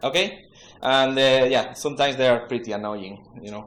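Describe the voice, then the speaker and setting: A man speaks in an Andalusian accent with ordinary pitch variation. There is audible room echo around his voice. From Spain, Andalusia (Seville). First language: Spanish. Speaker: web developer, conference speaker. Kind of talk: conference talk. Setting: stage with audience. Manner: halting, many fillers.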